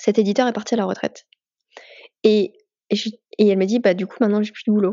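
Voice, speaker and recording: A woman at medium pitch talking at a very fast pace. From France. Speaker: comics artist. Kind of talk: casual interview.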